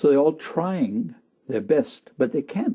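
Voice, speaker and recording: In a German accent, a man talks at a moderate pace with a dark, mellow tone, a high pitch and very wide pitch swings. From Germany, Berlin. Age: 70s. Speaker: war witness, former Hitler Youth member. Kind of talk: interview testimony. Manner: halting, repetitive.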